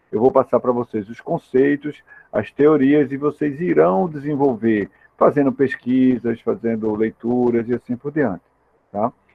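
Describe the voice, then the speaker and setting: Man at medium pitch, fairly slow pace and ordinary pitch variation. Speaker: university lecturer in industrial automation. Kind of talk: lecture. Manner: informal, hesitant with fillers.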